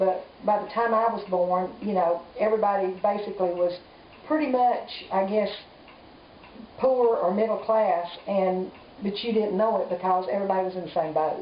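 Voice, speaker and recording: A woman with a Southern US accent speaks at a moderate pace and medium pitch, with ordinary pitch variation and long, frequent pauses. Audible room echo and noticeable background noise fill the recording. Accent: Southern US (Georgia). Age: 60s. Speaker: grandmother interviewed by grandchild. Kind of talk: family oral history interview.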